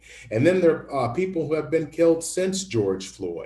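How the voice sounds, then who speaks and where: A man speaks in a somewhat breathy voice. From US South, Memphis, Tennessee. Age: 60s. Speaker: lawyer and speaker. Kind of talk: public talk Q&A.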